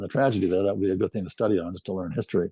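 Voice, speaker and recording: A man with a Midwestern American accent speaks in a dark, mellow tone, the sound dry and close with no echo against a quiet background. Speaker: retired military band euphonium player. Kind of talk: interview reminiscence. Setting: video interview.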